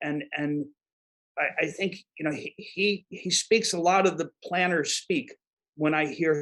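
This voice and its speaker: A man with a New York accent, high pitch, ordinary pitch variation and a moderate pace. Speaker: disaster management expert. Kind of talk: podcast interview. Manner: halting, many repeated words.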